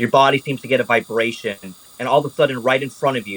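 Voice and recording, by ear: The voice is reading aloud in a natural voice. Its intonation stays fairly even.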